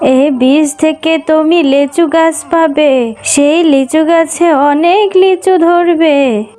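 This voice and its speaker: A woman's cartoonish character voice, extremely high in pitch and very slow, with clear music in the background. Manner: soft, affectionate.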